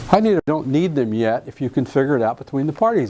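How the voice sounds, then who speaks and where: Over noticeable background noise, a speaker with an American accent talks at a fairly quick pace. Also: man. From US South (Alabama). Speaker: real estate contract trainer. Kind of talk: lecture.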